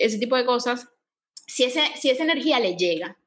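Speaking at a moderate pace in a Venezuelan accent, a woman uses a high pitch and lively intonation. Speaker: yoga teacher and podcast co-host. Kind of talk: casual chat. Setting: home living room.

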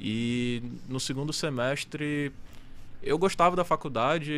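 A man speaks in an ordinary speaking voice at a medium pitch. His pitch variation is ordinary. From Amazonas, Brazil. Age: 20s. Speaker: professional poker player. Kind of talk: casual chat.

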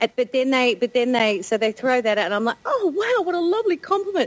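In an Australian accent, a woman talks at a fairly quick pace and a high pitch with very wide pitch swings, in a dry, close sound with no echo but noticeable background noise. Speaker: podcast host. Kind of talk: casual chat.

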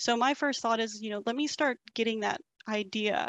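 At a moderate pace, a woman with a Texas accent and a fairly high pitch talks in a dry, close sound with no echo. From Texas, Bryan College Station. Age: 20s. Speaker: real estate agent. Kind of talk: casual interview.

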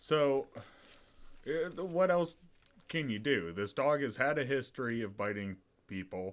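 Speaking at a fairly slow pace with long, frequent pauses, the man uses a medium pitch with very wide pitch swings. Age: 20s. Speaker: podcast co-host. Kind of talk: casual chat.

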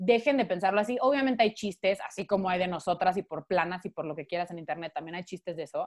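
Talking at a very fast pace, a woman uses medium pitch with ordinary variation. The sound is dry and close, with no echo. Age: 20s. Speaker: podcast guest. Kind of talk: casual chat.

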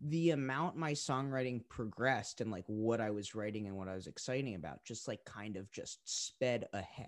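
An American-accented male voice, very clean recording, silent background. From Boston suburbs, Massachusetts. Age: 20s. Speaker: singer-songwriter. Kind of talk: casual interview.

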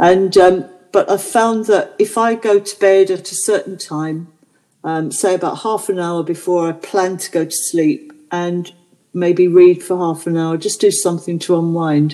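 Using a normal speaking voice, a woman talks at a medium pitch and a fairly slow pace with fairly even intonation. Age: 60s. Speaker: podcast co-host. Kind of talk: casual chat.

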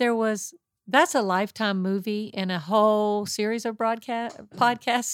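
With an American accent and an ordinary speaking voice, a woman talks at a fairly slow pace and fairly high pitch, with a dry, close sound with no echo. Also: very clean recording, silent background. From West Virginia. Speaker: pastor's wife. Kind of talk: testimony.

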